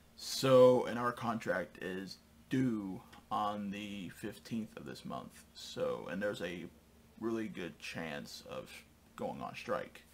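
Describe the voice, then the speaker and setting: Some light background noise is present. The voice is a man's. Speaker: channel host. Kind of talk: casual vlog chat. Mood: calm, slightly concerned. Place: home room.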